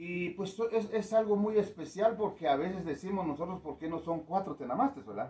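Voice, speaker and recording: Vocal fry colors a man's speech at a moderate pace. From Guatemala, K'iche' Maya community. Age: 60s. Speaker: community elder. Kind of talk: interview. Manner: hesitant, many fillers.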